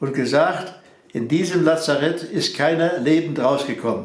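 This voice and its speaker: A man's high-pitched voice at a very slow pace, with fairly even intonation. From Silesia. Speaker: contemporary witness, farmer and mechanical engineer. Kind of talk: interview answer.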